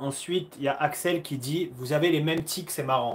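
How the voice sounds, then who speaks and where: A man speaks at a fairly slow pace. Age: 30s. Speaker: karate athlete and livestream host. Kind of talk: livestream Q&A chat. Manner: animated.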